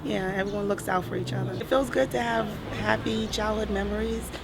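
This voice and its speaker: A woman talks at a very fast pace with an American accent. Background noise is noticeable. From Brooklyn, New York. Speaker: local resident. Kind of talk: interview.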